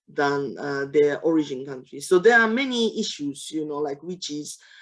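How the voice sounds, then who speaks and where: Speaking with a Japanese accent, a woman talks at a moderate pace in a very deep, low pitch with ordinary pitch variation. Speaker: webinar moderator, social protection specialist. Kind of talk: panel discussion. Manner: halting, many fillers.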